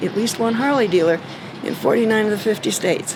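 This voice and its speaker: Over noticeable background noise, a woman with a fairly high-pitched voice speaks very fast. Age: 70s. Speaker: motorcycle rider. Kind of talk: interview answer.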